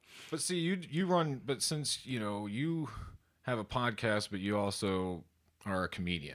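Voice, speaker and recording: The voice, in an American accent, moves at a fairly slow pace with very wide pitch swings. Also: man, fairly low pitch for a man. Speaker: podcaster and drummer. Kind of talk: casual interview chat.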